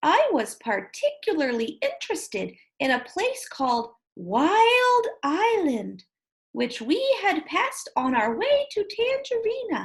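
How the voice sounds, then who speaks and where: Putting on a character voice, a woman speaks in a gentle tone at an extremely high pitch, fairly slowly, with very wide pitch swings. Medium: read story. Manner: gentle, polite.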